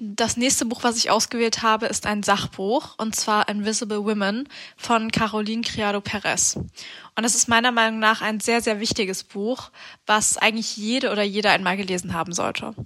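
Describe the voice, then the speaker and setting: A woman's bright, sharp voice, fairly high in pitch, monotone and flat, at a moderate pace. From Halle, Germany. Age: 20s. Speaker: psychology student. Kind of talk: prepared book recommendations.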